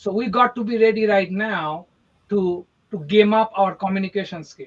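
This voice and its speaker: Speaking with an Indian accent, a man keeps a high pitch and a fairly slow pace. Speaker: podcast co-host, real estate marketer. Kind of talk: casual podcast chat. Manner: animated.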